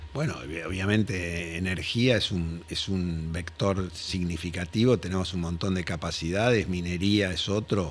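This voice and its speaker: Very deep and low, a man's voice moves at a fairly slow pace with ordinary pitch variation. He hardly pauses at all. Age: 70s. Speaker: industrial company founder. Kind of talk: interview. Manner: halting with repetitions.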